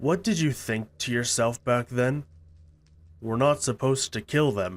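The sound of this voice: In a cartoonish character voice at medium pitch, a man speaks at a moderate pace on a very clean recording with a silent background.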